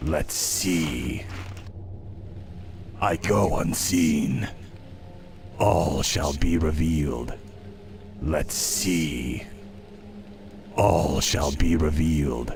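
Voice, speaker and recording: A man puts on a character voice and speaks at a very slow pace, with clear background noise behind him. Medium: machinima.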